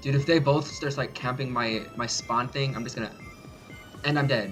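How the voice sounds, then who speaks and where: A man at a medium pitch talks at a moderate pace with music in the background. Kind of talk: gameplay commentary. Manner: excited, startled.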